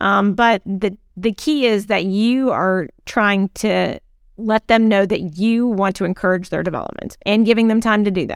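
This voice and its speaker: Her voice is a normal speaking voice: a woman at medium pitch and moderate pace with fairly even intonation, on a very clean recording with a silent background. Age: 50s. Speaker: HR consultant, podcast co-host. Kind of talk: casual chat.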